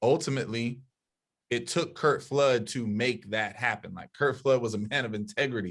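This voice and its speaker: An unremarkable speaking voice from a man, medium in pitch, with ordinary pitch variation and a moderate pace. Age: younger than 60s. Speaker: podcast panelist. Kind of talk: heated debate.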